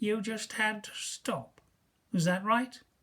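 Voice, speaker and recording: A man's shrill, put-on character voice, high in pitch, with fairly even intonation and a fairly slow pace. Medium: read story. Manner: menacing, commanding.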